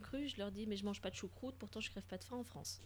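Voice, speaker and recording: A somewhat breathy woman speaks with fairly even intonation. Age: 30s. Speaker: podcast co-host sharing travel experiences in Japan. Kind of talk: casual chat.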